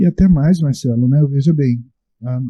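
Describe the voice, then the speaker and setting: Dark and mellow in tone, a man's fairly high voice comes across somewhat breathy. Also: dry, close sound with no echo. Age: 60s. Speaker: Umbanda religious leader. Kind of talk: panel discussion. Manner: hesitant, many fillers.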